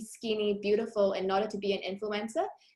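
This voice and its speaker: A woman's somewhat breathy voice moves along at a fairly quick pace. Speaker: academic researcher. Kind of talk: conference presentation. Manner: fast.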